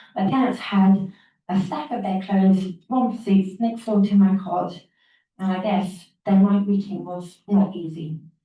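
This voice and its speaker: A woman's somewhat breathy, dark and mellow voice at medium pitch, fairly slow and fairly even in intonation, with audible room echo. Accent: English. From England. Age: 40s. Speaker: conference speaker with a rare syndrome. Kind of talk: prepared talk. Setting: stage with audience. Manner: halting, with repeated words.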